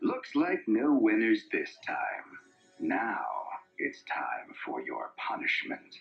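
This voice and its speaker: A man drags out his words at a very slow pace in a put-on character voice. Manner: sinister, menacing.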